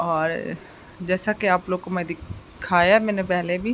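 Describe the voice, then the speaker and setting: Noticeable background noise sits behind a woman speaking fairly slowly at a medium pitch with fairly even intonation. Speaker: vlogger. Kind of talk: vlog voice-over.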